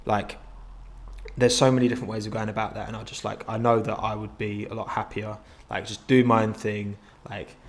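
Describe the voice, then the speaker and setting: A man talks at a fairly quick pace and a fairly low pitch, his intonation monotone and flat, with long, frequent pauses. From London borough of Havering, east London / Essex. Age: 20s. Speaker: YouTuber. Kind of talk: interview. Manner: halting, many repeated words.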